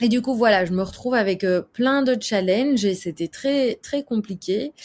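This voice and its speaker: In an ordinary speaking voice, a woman talks at a moderate pace with a fairly high pitch, very even loudness and ordinary pitch variation. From Belgium. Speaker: actress and screenwriter. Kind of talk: interview. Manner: casual, with many fillers.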